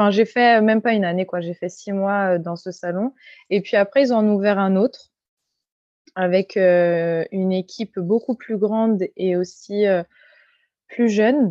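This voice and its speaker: At a fairly slow pace, a woman with a medium-pitched voice speaks in fairly even intonation, leaving long, frequent pauses. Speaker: hairdresser and salon owner. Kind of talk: interview.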